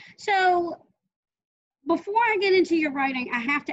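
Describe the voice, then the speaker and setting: With an American accent, a woman speaks at a moderate pace as her pitch swings very widely. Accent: Southern, slips in. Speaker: author and interview host. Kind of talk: interview.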